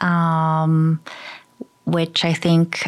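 This is a woman's voice. She speaks with a Midwestern accent. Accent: General American (Midwest). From Michigan, US. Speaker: interior designer. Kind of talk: interview. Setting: at her home.

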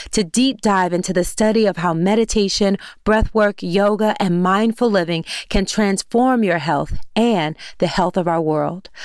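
This woman has a plain, everyday voice. Her medium pitch shows ordinary variation. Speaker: podcast host. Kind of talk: scripted intro and ad read.

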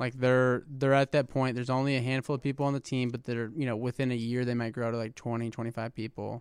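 In a Midwestern American accent, a man talks at a very fast pace with hardly any pauses, his medium-pitched voice monotone and flat in a dry, close sound with no echo. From Indiana (West Lafayette). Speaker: venture investor, startup CEO. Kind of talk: casual interview.

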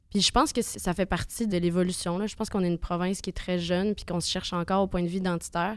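On a very clean recording with a silent background, a woman talks at a very fast pace with a medium pitch and fairly even intonation. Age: 20s. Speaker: singer-songwriter. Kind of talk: casual interview.

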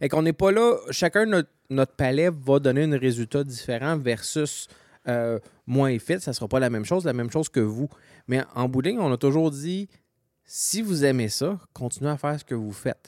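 With lively intonation and a moderate pace, a man has an unremarkable speaking voice on a very clean recording with a silent background. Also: fairly high pitch for a man, dry, close sound with no echo. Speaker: homebrewing podcast co-host. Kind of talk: casual chat.

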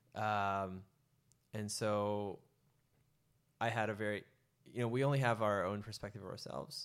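A man with an American accent speaks at a moderate pace and fairly low pitch, taking long, frequent pauses. His intonation stays fairly even on a very clean recording with a silent background. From San Francisco Bay Area, US. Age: 30s. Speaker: retreat organizer, former banker. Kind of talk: casual interview.

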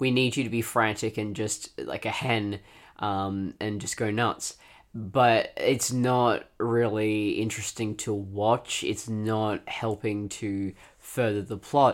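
Very slowly, a man speaks with an Australian accent in a monotone, flat intonation. The recording is very clean, with a silent background. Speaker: podcast co-host, fiction writer. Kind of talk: casual chat.

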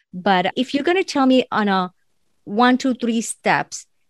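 A woman with a non-native accent speaks at a fairly slow pace with ordinary pitch variation. The sound is dry and close with no echo, very clean, over a silent background. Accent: foreign. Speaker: podcast host, life coach. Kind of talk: interview.

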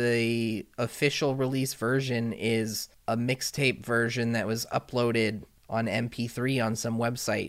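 Speaking at a fairly slow pace, a man has an unremarkable speaking voice with medium pitch and fairly even intonation. The recording is very clean, with a silent background. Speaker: gaming podcast co-host. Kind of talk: casual chat.

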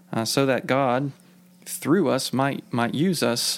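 A man speaks in a normal speaking voice at a fairly slow pace, his pitch fairly high with ordinary variation. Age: 30s. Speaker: church minister. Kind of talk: casual chat.

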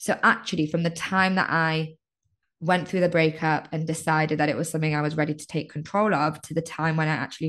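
In a British accent, a woman speaks at a fairly quick pace with a very deep, low pitch. Her intonation is monotone and flat, and the background is quiet. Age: 30s. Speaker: life coach. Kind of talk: casual chat. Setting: video call.

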